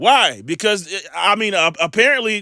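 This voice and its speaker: A raised, projected voice with a bright, sharp tone and lively intonation. It is captured in a very clean recording with a silent background. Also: man. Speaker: religious commentator. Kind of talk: casual monologue; reading aloud. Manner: halting.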